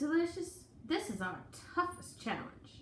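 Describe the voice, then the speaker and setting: Putting on a character voice, a woman speaks at an extremely high pitch and a fairly slow pace, with a slight echo. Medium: read story. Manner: folksy, fretful.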